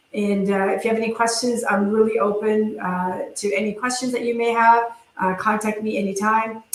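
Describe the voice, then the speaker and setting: In a room with audible echo, a woman speaks at a fairly quick pace and fairly high pitch with monotone, flat intonation. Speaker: dental industry presenter. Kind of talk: webinar presentation and Q&A. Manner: fast.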